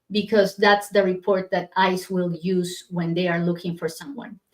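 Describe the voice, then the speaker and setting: The speech has a strong non-native accent and a fairly slow pace. Intonation is monotone and flat. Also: woman. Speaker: immigration lawyer. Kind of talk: live stream Q&A. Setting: livestream. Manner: hesitant, many fillers.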